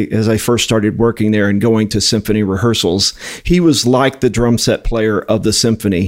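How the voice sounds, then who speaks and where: With a normal speaking voice, a man talks at medium pitch with fairly even intonation. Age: 50s. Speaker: music education director at a drumstick company. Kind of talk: interview.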